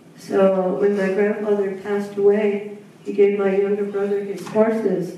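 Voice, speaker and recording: A woman speaks at a fairly slow pace in a room with strong echo and light background noise. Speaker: panelist. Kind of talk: personal storytelling talk. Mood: reflective, warm, slightly wistful. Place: hall.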